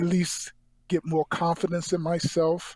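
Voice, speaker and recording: The man's voice is high in pitch. He has an American accent. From North Carolina, Rocky Mount. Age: 40s. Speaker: actor. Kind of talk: interview. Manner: stutter; halting.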